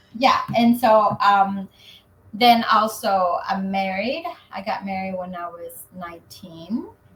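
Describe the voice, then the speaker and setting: With a Spanish accent, a woman speaks at a very slow pace and medium pitch, with ordinary pitch variation, big swings in loudness and noticeable background noise. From Mexico, Zacatecas. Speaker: real estate agent. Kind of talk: interview.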